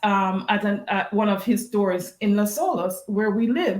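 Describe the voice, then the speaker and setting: A woman with a Jamaican accent, a fairly high pitch and a somewhat breathy sound. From Jamaica, Westmoreland. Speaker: golf bag company co-founder. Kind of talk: interview storytelling.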